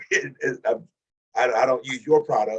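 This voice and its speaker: A man speaks at a moderate pace. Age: 60s. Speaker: webinar attendee. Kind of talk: casual comment. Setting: video call. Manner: halting.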